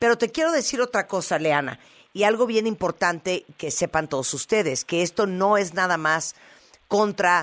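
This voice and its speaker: A woman with an unremarkable speaking voice talks at medium pitch with lively intonation. The background is quiet. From Nicaragua. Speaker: radio host. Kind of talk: radio show.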